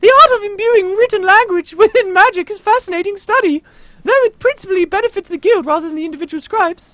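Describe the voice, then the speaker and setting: A put-on character voice, extremely high in pitch, at a very fast pace. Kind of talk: formal, scholarly. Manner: fairy-like, delicate.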